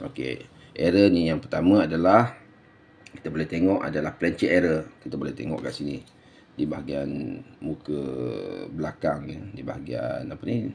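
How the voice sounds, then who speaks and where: At a moderate pace, a man with a very deep, low voice speaks with lively intonation and big swings in loudness. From Malaysia. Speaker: coin collector and seller; seller. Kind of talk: video tutorial and sales pitch. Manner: halting, many fillers. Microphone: phone near.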